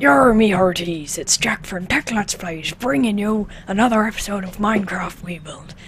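A female-sounding put-on character voice at medium pitch for a woman runs at a moderate pace with hardly any pauses. Clear background noise is present. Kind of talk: gaming video intro. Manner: exaggerated, intentionally bad impression.

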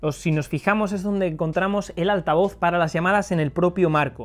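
A man's voice, high in pitch, at a fairly quick pace with ordinary pitch variation. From Spain. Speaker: tech video reviewer. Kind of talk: product review. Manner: casual, conversational. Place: home room. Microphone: lapel.

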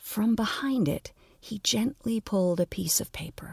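A normal speaking voice moves at a fairly slow pace with lively intonation. The very clean recording has a silent background and a dry, close sound with no echo. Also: woman. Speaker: audio fiction narrator and podcast host. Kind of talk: literary audiobook reading of a dark comic fantasy story, narrated with character voices.

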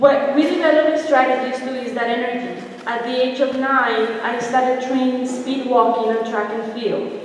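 In a strong room echo with light background noise, a woman reads at a moderate pace in a high pitch, monotone and flat, with hardly any pauses. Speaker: visual artist and art teacher. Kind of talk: artist lecture. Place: hall. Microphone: camera far.

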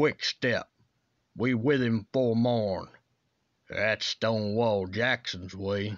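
Very slow and with long, frequent pauses, a man speaks at medium pitch with fairly even intonation and very even loudness. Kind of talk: poem performed, dramatic voiceover reading of a Civil War ballad. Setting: voiceover demo recording. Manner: formal, declamatory, rhythmic delivery.

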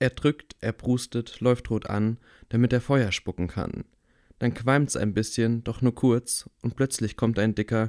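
A man with a medium-pitched voice speaks at a very slow pace in a warm, theatrical tone. The sound is dry and close, with no echo. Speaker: audiobook reader. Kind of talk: rhythmic rhymed children's story reading, sing-song verse. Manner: bedtime-story tone, warm and gently theatrical.

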